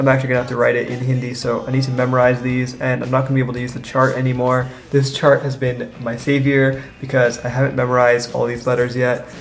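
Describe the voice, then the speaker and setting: Over music in the background and with audible room echo, a man of medium pitch speaks very fast in a monotone, flat intonation with hardly any pauses. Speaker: college student vlogger. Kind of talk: casual vlog narration. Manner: casual, filler-heavy.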